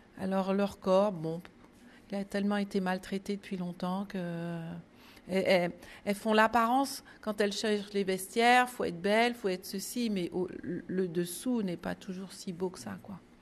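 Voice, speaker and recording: At a fairly slow pace, the intonation stays fairly even. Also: woman, medium pitch for a woman. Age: 60s. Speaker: retired nurse and volunteer. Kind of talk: testimony. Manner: hesitant, with fillers and repetitions.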